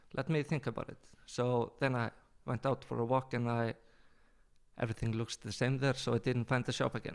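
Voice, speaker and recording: Speaking at a fairly quick pace, a man with a medium pitch keeps a monotone, flat intonation broken by long, frequent pauses. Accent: Icelandic. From Iceland. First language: Icelandic. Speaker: travel company owner. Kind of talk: podcast interview answer.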